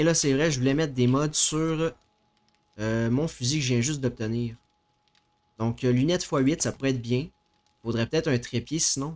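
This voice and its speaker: A man talks at a moderate pace, stopping for long, frequent pauses. His loudness stays very even and his intonation fairly even. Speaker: game streamer. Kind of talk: casual gameplay commentary. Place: home room. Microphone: headset.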